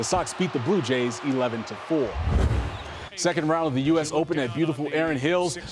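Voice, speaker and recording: Over noticeable background noise, a man talks at a moderate pace with lively intonation and an upbeat, energetic tone. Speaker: sports anchor and reporter. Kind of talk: sports broadcast reporting.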